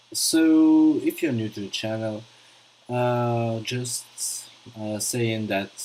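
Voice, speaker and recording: A man delivers his words very slowly while noticeable background noise is present. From France. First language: French. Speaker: gaming streamer. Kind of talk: live stream commentary. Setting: live stream. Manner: halting, many fillers.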